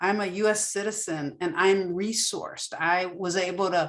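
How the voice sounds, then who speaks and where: This woman talks at a fairly slow pace in a medium-pitched voice. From Wisconsin. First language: Spanish. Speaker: lawyer and trainer. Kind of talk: online training session.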